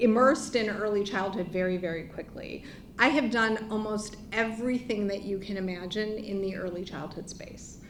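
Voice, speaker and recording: A woman speaks at a moderate pace with a fairly high pitch and fairly even intonation. Her loudness swings widely, and there is audible room echo. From US, Chicago. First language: not English. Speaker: nonprofit CEO, former early childhood teacher. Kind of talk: panel presentation.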